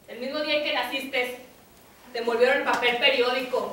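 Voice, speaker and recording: In a raised, projected voice, a woman speaks with fairly even intonation amid strong room echo. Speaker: actor in a play. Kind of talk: theatrical dialogue. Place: stage. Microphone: camera far.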